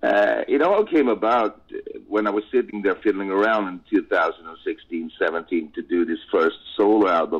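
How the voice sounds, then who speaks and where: A man with a Swedish accent speaks at a moderate pace. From Sweden. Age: 50s. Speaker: rock singer. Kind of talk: interview. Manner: halting.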